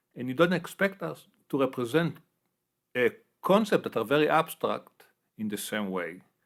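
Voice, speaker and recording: A man's fairly high voice with vocal fry, very wide pitch swings and a strong non-native accent, at a moderate pace on a very clean recording with a silent background. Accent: heavy non-native English. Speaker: neuroscience professor. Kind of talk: interview.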